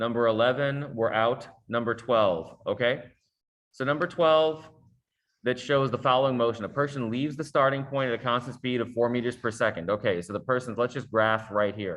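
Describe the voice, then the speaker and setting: A man speaks with an unremarkable speaking voice at medium pitch. His pace is moderate and his pitch variation ordinary. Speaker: science teacher. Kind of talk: tutorial.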